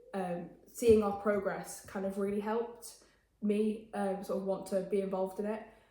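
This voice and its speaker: A woman with an English accent talks at a medium pitch in a monotone, flat way. Audible room echo and noticeable background noise surround her voice. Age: young. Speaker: interviewee, student mental health campaigner. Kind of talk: interview. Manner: fast; hesitant with fillers.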